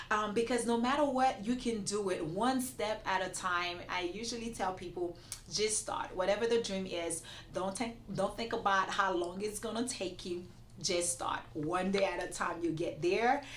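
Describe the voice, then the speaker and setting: Speaking at a moderate pace with a non-native accent, a woman sounds animated, with noticeable background noise and audible room echo. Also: medium pitch for a woman, ordinary pitch variation. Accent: foreign. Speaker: immigration attorney. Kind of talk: interview.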